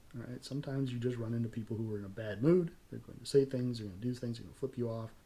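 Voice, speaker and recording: A man talks very fast in a medium pitch with a dark, mellow, somewhat breathy tone. His pitch varies in an ordinary way while his loudness swings widely. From California. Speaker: self-defense channel host. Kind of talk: tutorial.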